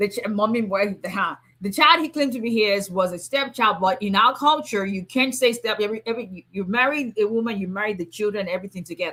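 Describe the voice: A woman talks at a fast pace. Her tone is bright and sharp. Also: medium pitch for a woman, ordinary pitch variation.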